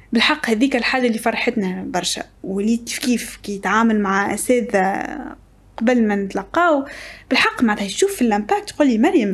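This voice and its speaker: The speaker has a Tunisian accent. The intonation is lively. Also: woman. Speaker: podcast guest. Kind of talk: casual interview chat. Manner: code-switching between Tunisian Arabic, French and English. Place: studio. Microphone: studio mic.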